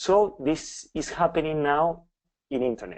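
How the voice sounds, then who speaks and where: The speaker has a Spanish accent and ordinary pitch variation. The pace is fairly slow. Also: man. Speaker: professor. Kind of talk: lecture. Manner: halting.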